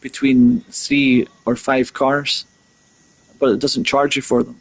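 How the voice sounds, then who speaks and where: A fairly high-pitched man at a very slow pace, with ordinary pitch variation. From Scotland. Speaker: gaming streamer. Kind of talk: live gameplay commentary. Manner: halting, with many fillers and repeats.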